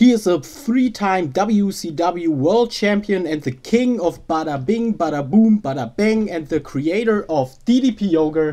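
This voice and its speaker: The speaker has a German accent and a fairly slow pace. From Germany. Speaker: podcast host. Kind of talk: interview. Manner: halting.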